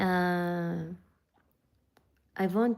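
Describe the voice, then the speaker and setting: A woman with a Persian accent has a dark, mellow tone and fairly even intonation. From northern Iran. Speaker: vlogger. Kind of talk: casual chat. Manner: halting.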